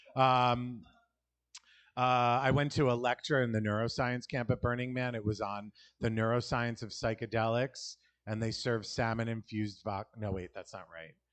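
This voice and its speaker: A man speaks at a medium pitch with a New York accent. The background is quiet. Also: fairly even intonation, moderate pace. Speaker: stand-up comedian. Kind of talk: stand-up.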